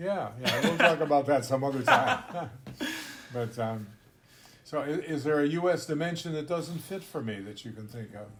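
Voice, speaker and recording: A man with an American accent speaks at a moderate pace and a fairly high pitch, his intonation lively and his loudness swinging widely. Long, frequent pauses break up his speech, and background noise is noticeable. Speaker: podcast host, intercultural trainer. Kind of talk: casual discussion.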